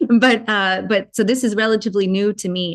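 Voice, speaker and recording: A woman at a very fast pace, with fairly even intonation. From Germany. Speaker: spiritual channeler. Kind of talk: interview.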